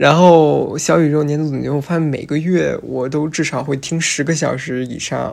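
A woman speaks at a moderate pace with hardly any pauses, her very deep, low voice monotone and flat. The recording is very clean, with a silent background. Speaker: podcast host and first-year philosophy student. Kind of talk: casual solo monologue. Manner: hesitant with frequent fillers.

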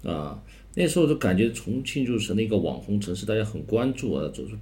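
A man talks fairly quickly in a dark, mellow tone with vocal fry. His pitch swings very widely, and room echo is audible. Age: 40s. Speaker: manager of a renovated cultural district. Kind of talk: interview. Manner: halting.

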